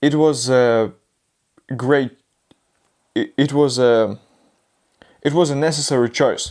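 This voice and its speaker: With a non-native accent, the speaker goes at a fairly slow pace with long, frequent pauses. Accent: non-native English learner. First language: not English. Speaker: YouTuber learning English. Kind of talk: vlog, answering questions on camera. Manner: halting, with many restarts.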